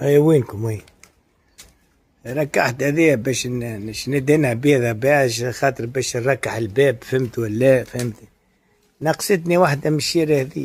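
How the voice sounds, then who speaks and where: A man's somewhat breathy, medium-pitched voice with ordinary pitch variation. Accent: Tunisian. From Tunisia. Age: 60s. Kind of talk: casual monologue.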